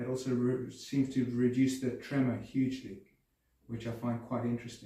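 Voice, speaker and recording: In a room with audible echo, a man speaks in a calm tone at a medium pitch, his dark, mellow voice somewhat breathy. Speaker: person with Parkinson's disease, Alexander Technique student. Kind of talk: interview testimony. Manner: halting, repeats words.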